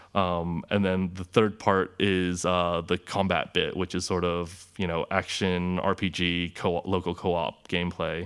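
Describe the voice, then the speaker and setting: Over a very clean recording with a silent background, a man with a very deep, low pitch speaks in a flat monotone at a fairly slow pace, with hardly any pauses. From California, Orange County. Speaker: game developer. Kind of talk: interview.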